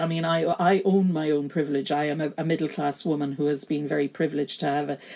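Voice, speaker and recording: A fairly quick pace in a Kerry accent, on a very clean recording with a silent background. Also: woman. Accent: broad Kerry. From Ireland, County Kerry. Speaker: gender studies lecturer and feminist activist. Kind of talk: podcast interview conversation.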